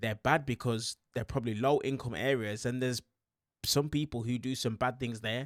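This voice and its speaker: With a West Midlands accent, a man speaks in an animated tone at a moderate pace and medium pitch, on a very clean recording with a silent background and a dry, close sound with no echo. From West Midlands, England. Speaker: YouTube commentator. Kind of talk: video reaction commentary.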